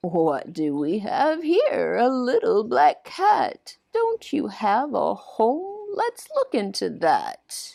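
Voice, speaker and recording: A female-sounding voice uses a put-on character voice at a high pitch. It moves at a very slow pace with hardly any pauses. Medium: read story. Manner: gentle, warm.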